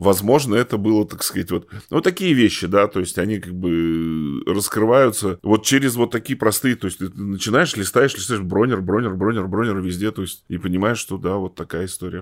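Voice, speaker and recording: Fairly low male voice, its pitch varying in an ordinary way. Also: moderate pace, very clean recording, silent background. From Russia, Tomsk (Siberia). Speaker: journalist and local historian, novelist. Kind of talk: interview. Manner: halting, many fillers.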